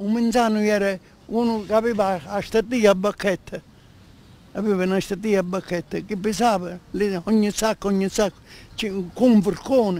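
A man speaks with a high pitch and fairly even intonation at a moderate pace. Long pauses come often, and the sound is dry with no echo. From Mazzarino, Sicily. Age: 80s+. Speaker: elderly local interviewee. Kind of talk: interview answer. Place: street. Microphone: handheld.

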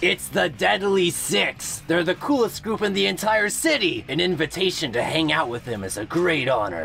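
A man's whiny, put-on character voice, high in pitch, at a moderate pace over clear background noise. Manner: trying to sound tough, whiny.

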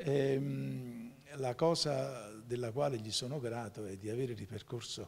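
Somewhat breathy male voice, lively in intonation. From Campania, Giugliano near Naples; Campania, Italy. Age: 60s. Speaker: lawyer. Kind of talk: TV interview. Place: studio. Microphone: handheld.

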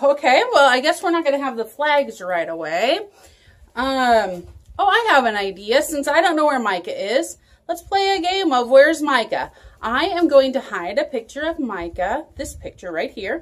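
A woman talks in a high voice at a moderate pace. Her pitch swings very widely. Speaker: children's church teacher. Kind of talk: children's Bible lesson video. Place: home room. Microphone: phone near.

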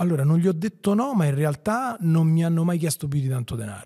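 Over a quiet background, a man with a dark, mellow tone and fairly high pitch talks at a fairly quick pace, his pitch swinging very widely. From Rome outskirts, Italy; Italy. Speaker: entrepreneur; podcast guest. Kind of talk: interview. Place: studio. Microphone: studio mic.

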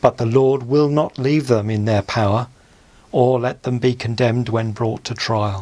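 The man talks at a fairly slow pace with fairly even intonation. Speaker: church service reader. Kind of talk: scripture reading.

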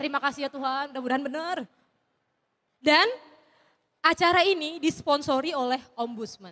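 Over a quiet background, a woman with a high pitch and a bright, sharp tone talks at a moderate pace with ordinary pitch variation and long, frequent pauses. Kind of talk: stand-up comedy; stand-up comedy routine. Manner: casual, chatty, relaxed. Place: stage. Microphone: handheld.

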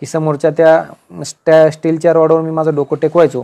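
A man talks with a fairly high pitch in an ordinary speaking voice. The background is quiet. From rural Maharashtra, Nashik district (Sinnar); Maharashtra. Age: 40s. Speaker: senior income tax officer giving career guidance. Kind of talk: motivational talk to exam aspirants. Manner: informal, conversational. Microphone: earbuds.

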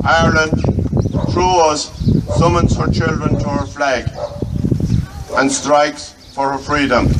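A man at a fairly slow pace, with long, frequent pauses, over loud background noise. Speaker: commemoration reader. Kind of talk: proclamation reading aloud. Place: street. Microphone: lapel.

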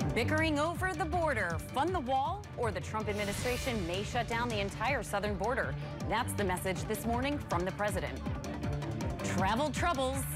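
Clear music plays behind a woman who speaks at a moderate pace. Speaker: TV news anchor. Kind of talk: TV news read. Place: studio. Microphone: lapel.

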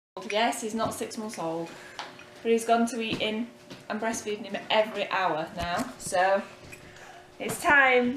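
The speech comes at a fairly slow pace with ordinary pitch variation, and there is noticeable background noise. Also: woman. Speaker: family vlogger, parent. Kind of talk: casual family vlog. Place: home room. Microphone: phone near.

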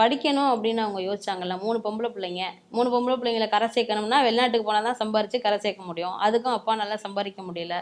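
Using a plain, everyday voice, a woman holds a fairly high pitch with fairly level intonation. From Tamil Nadu, Pudukkottai district village. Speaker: folk singer and music lecturer. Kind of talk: interview.

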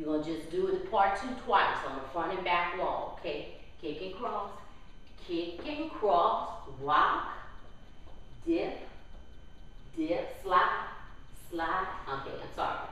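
Speech comes very slowly with long, frequent pauses, strong room echo and light background noise. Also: woman, medium pitch for a woman, lively intonation. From New Orleans, Louisiana. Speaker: line dance instructor. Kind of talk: dance class tutorial, step-by-step instruction with counted steps. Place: hall.

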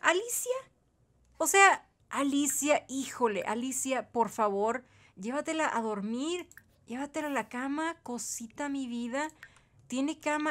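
A woman speaks in an animated tone with lively intonation and a high pitch. She keeps a moderate pace, and the recording is very clean with a silent background. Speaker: gaming youtuber. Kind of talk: gameplay commentary.

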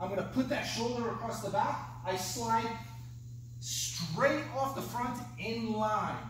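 There is light background noise. Audible room echo can also be heard. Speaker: martial arts instructor. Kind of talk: tutorial. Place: gym.

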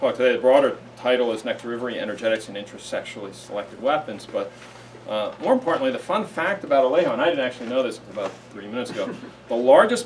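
Light background noise is present. Over it, a man speaks at a very fast pace. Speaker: host introducing a seminar speaker. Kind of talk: speaker introduction. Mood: warm and jokey. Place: classroom. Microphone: camera far.

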